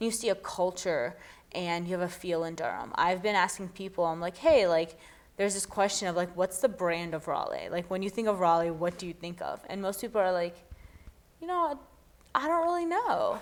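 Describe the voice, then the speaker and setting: An ordinary speaking voice with ordinary pitch variation at a fairly quick pace. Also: woman, medium pitch for a woman. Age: young. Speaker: former mayoral candidate. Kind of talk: interview answer.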